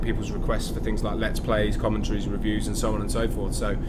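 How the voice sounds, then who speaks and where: Speaking very fast, a man talks with a Midlands accent. Noticeable background noise and audible room echo surround him. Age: 30s. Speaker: gaming YouTuber. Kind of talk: let's play commentary. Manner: halting, many fillers.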